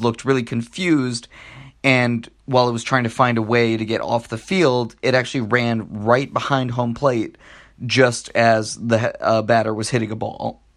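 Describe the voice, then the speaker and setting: Against a quiet background, a man with a medium pitch speaks in an animated tone at a moderate pace. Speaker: podcast co-host. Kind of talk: casual chat, storytelling a true crime case. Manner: professorial; animated, lots of fillers.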